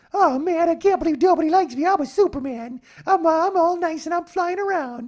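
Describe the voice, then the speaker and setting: In a put-on character voice, the speaker squeaks out whiny lines at an extremely high pitch and a fairly quick pace. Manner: mopey, sad, whiny.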